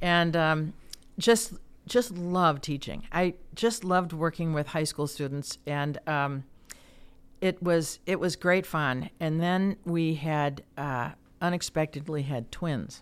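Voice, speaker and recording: In a very clean recording with a silent background, a woman with an American accent speaks very slowly at a fairly low pitch with ordinary pitch variation. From US Midwest, Chicago area. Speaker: former mayor and chamber of commerce president. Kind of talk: interview.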